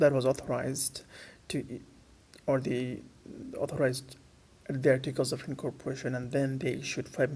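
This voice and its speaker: This man speaks at a moderate pace and a medium pitch. His voice is somewhat breathy, with monotone, flat intonation. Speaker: financial educator. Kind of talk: unscripted educational lecture. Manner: hesitant, many fillers.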